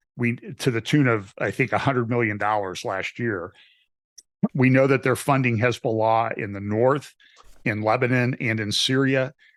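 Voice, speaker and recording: A man with a normal speaking voice delivers his words at a moderate pace, keeping his intonation fairly even. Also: medium pitch for a man. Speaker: pastor. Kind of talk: political interview.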